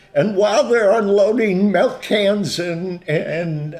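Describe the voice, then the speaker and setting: Over noticeable background noise, a man talks very slowly in a high pitch. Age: 70s. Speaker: pastor and counselor. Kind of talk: testimony.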